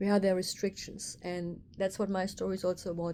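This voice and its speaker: A woman's voice with a dark, mellow tone sits at a medium pitch and stays monotone and flat in intonation. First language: German. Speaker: craniosacral therapist. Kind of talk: casual vlog monologue. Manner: halting, with fillers.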